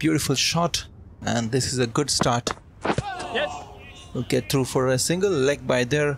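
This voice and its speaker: Noticeable background noise behind a man's voice of fairly high pitch. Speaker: gaming YouTuber doing his own cricket commentary. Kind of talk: live sports commentary over video game play, self-recorded. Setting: voiceover recorded over gameplay, edited. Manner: shifts to casual chatty explanation between play.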